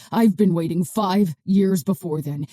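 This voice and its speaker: Putting on a raspy character voice, a woman speaks at a moderate pace with a fairly low pitch. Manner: whispering, menacing.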